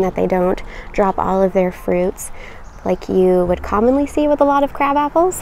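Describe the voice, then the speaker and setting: A woman speaks at a moderate pace with lively intonation. Her sound is dry with no echo, with light background noise. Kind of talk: casual vlog chat. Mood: cheerful, enthusiastic. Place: garden.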